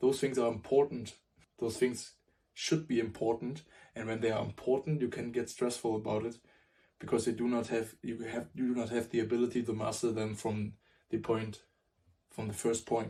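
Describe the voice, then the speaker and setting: A man of medium pitch with a non-native accent speaks at a moderate pace, leaving long, frequent pauses. His voice is somewhat breathy with a dark, mellow tone and fairly even intonation. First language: not English. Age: 20s. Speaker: self-improvement vlogger. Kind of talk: motivational talk to camera. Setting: at a whiteboard. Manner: halting, with self-corrections.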